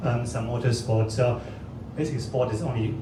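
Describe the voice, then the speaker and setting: There is noticeable background noise and audible room echo in this clip. A man with a medium pitch speaks at a fairly quick pace. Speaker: streaming company executive. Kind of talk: launch event speech. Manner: halting, many fillers and repetitions.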